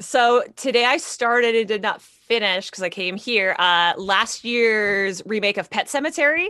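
A woman's fairly high, bright, sharp voice with an animated tone, ordinary pitch variation, a moderate pace and hardly any pauses. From Canada. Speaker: comic writer, actor and podcast co-host. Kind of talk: casual chat. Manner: animated, laughs often.

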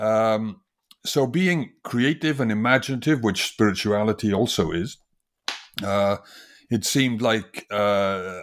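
A man with a Welsh accent talks at a fairly slow pace with ordinary pitch variation. The recording is very clean, with a silent background. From Wales, industrial valleys. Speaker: design professor and author. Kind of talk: interview. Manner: halting, many fillers.

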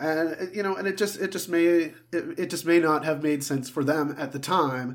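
This is a normal speaking voice, delivered at a moderate pace with fairly even intonation. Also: man, fairly high pitch for a man. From Southern Ontario, Canada. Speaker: sports podcast co-host. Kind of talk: casual chat.

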